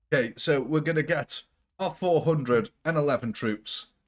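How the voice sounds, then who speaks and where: A man with a British accent speaks at a moderate pace, his pitch fairly high. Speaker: gaming streamer. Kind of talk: live gameplay stream. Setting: live stream. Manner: casual, chatty.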